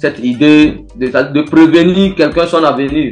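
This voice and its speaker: A man at a fairly slow pace with ordinary pitch variation, music in the background. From Togo. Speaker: griot musician. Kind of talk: interview answer.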